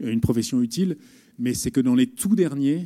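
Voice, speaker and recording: A man's dark, mellow voice at a medium pitch, moderate pace and lively intonation, on a very clean recording with a silent background. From northern France. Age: 40s. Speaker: journalist. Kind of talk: talk to students. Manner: halting.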